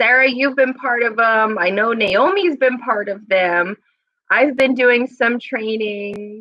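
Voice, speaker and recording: A woman's fairly high pitch varies in an ordinary way as she talks at a very slow pace. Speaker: staff trainer at an adult services agency. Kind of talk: live stream staff announcements. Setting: office room, live stream. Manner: loud; casual, chatty.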